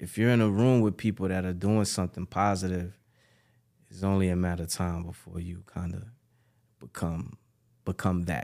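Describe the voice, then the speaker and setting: A man with a New York accent and a very deep, low pitch, dark, mellow tone and fairly even intonation, at a moderate pace with long, frequent pauses, on a very clean recording with a silent background. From Bronx, New York, Ghanaian parents. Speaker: record label executive and artist manager. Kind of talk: casual interview.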